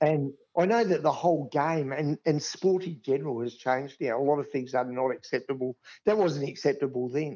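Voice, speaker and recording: Talking at a fairly quick pace, a man speaks in an Australian accent. His pitch is fairly high, with ordinary variation. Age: 60s. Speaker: grounds manager. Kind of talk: casual chat.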